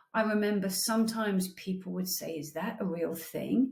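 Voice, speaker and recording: A woman with a British accent, medium in pitch, with ordinary pitch variation. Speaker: therapist. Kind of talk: casual intro monologue.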